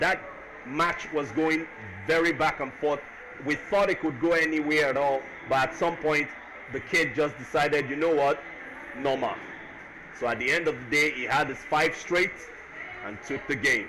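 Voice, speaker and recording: With noticeable background noise behind him, a man of fairly high pitch speaks at a moderate pace with fairly even intonation and long, frequent pauses. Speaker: esports commentator. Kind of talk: post-match interview and stream commentary.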